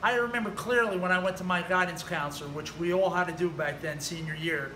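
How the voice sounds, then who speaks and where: Over noticeable background noise and audible room echo, a man with a New Jersey accent projects a raised, high voice at a fairly quick pace with ordinary pitch variation. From New Jersey, US. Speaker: personal trainer. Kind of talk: personal story monologue. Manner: casual, conversational.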